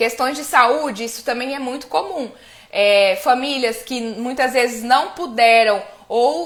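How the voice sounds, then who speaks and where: A woman speaks in a high voice at a very slow pace. Her pitch varies in an ordinary way. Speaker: family constellation coach. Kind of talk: live stream talk. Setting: live stream.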